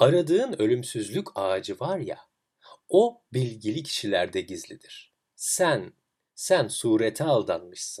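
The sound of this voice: Putting on a character voice, a man speaks slowly in a fairly low pitch, with big pitch swings, a slightly mellow tone and a slightly husky edge.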